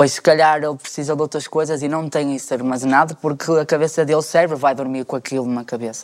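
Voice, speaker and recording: A man's fairly high voice, very fast, with monotone, flat intonation. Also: hardly any pauses. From Portugal, Porto. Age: 20s. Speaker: panel guest. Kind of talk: casual chat.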